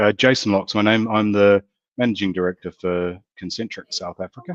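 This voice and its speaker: A man with a New Zealand accent speaks at a fairly low pitch and a fairly quick pace. His pitch variation is ordinary, and the sound is dry and close with no echo. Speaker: company managing director. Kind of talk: panel introduction.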